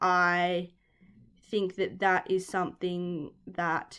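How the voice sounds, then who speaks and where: A woman with an Australian accent in a very clean recording over a silent background. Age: 20s. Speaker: podcast host and sport science student. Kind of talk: solo podcast talk. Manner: casual with many fillers and restarts.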